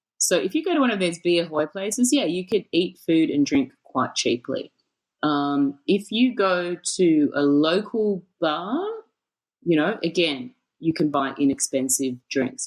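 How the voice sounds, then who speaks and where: A woman's fairly low voice at a fairly slow pace, with very wide pitch swings. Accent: Australian. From Australia, Sydney. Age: 40s. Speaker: nightlife expert. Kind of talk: casual chat. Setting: podcast. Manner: many fillers and repetitions.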